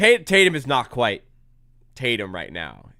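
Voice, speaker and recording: Very wide pitch swings mark this man's animated, bright, sharp tone. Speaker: sports YouTuber hosting a live watch-along. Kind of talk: live game reaction commentary.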